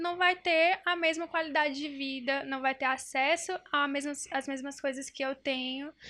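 A woman's raised, projected voice, high-pitched, bright and sharp in tone, at a moderate pace. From Northeast Brazil, União (Piauí). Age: 20s. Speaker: psychologist. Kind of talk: casual chat.

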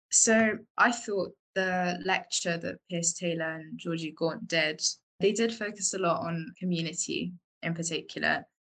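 A woman with a London accent speaks at a fairly slow pace, her fairly low pitch showing ordinary pitch variation and some vocal fry. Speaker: architecture student. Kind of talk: casual chat.

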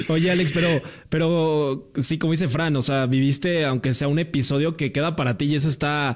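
A man speaks at a moderate pace in a fairly high pitch, with fairly even intonation and very even loudness. The recording is very clean, the background silent. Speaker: podcast host. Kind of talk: casual chat.

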